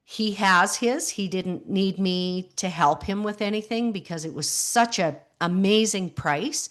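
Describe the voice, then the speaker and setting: A woman's plain, everyday voice at a medium pitch, fairly slow in pace with hardly any pauses and ordinary pitch variation, over a quiet background. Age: 60s. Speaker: grief support coach, widow. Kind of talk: interview conversation.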